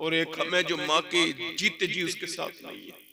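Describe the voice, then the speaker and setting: This man's voice is high-pitched and carries a passionate tone. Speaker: Islamic preacher giving a religious sermon. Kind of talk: religious sermon to a crowd, emotional preaching. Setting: public gathering, jalsa audio. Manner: passionate, emotional, rhetorical, addressing audience directly.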